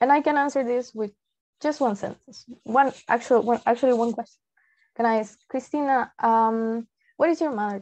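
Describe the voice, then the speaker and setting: A woman's high-pitched voice in a Peruvian accent, at a moderate pace, with ordinary pitch variation and big swings in loudness. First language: Spanish. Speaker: translator. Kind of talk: presentation.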